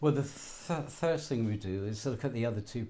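In a southern English accent, a man with a dark, mellow, somewhat breathy tone speaks with lively intonation over light background noise. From southern England. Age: 80s+. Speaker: betting shop worker. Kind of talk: interview. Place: shop. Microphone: lapel.

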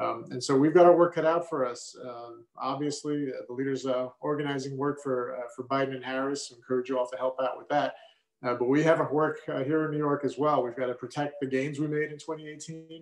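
A man's fairly high, monotone voice with flat intonation, at a fairly quick pace, with audible room echo. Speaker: state senator. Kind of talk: rally speech. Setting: virtual event video. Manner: earnest, fired-up, urging. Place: home room. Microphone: webcam.

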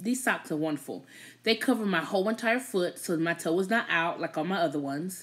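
Animated tone with lively intonation at a fairly quick pace. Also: woman. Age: 30s. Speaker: YouTube livestream host. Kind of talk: casual chat. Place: home room. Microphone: phone near.

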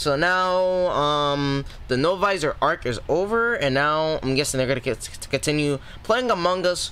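A male voice is heard. The intonation moves in a lively way. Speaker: reaction video creator. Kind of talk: casual vlog chat. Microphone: headset.

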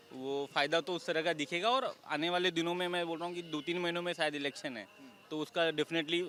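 Noticeable background noise sits under this man's high-pitched voice, which shows ordinary pitch variation. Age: young. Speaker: park visitor. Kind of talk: street interview. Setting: outdoors.

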